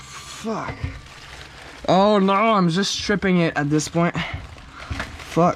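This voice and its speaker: The speech comes at a very slow pace with long, frequent pauses. Noticeable background noise runs underneath. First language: French. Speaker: car hobbyist youtuber. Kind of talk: casual DIY vlog narration. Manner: casual, halting with fillers.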